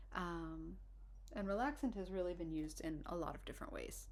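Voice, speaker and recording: Someone soft-spoken talks at a fairly quick pace. Room echo is audible. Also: woman. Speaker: herbalist and herbal instructor. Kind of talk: informal lecture. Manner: hesitant, many fillers and restarts.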